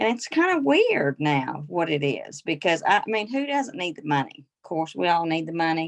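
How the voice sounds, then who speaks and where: A woman with a Southern US accent, fairly low in pitch with very wide swings, at a moderate pace and with hardly any pauses. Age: 60s. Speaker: direct sales consultant. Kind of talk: casual group chat.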